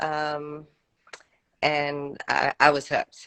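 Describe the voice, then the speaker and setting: The tone is bright and sharp, with a dry, close sound and no echo. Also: woman. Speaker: professional bodybuilder. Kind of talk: interview. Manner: soft-spoken; hesitant.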